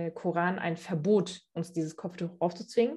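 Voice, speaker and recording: A woman with a fairly low pitch and a dark, mellow tone speaks at a moderate pace. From Germany, Cologne. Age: 20s. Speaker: interview guest. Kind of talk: interview. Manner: hesitant, many fillers.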